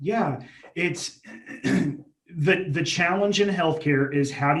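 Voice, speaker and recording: A somewhat breathy male voice with ordinary pitch variation and audible room echo. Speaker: healthcare digital marketing manager. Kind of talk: interview. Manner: halting, self-described stuttering.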